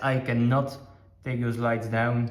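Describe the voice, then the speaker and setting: In a Dutch accent, a man speaks at a fairly slow pace and medium pitch, with audible room echo. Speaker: aquarium hobbyist vlogger. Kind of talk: casual video update. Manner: hesitant, many fillers.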